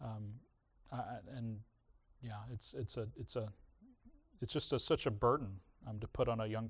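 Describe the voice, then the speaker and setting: Somewhat breathy, a man speaks with fairly even intonation over a quiet background. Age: 40s. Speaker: pastor. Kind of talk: sermon. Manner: halting, frequent fillers.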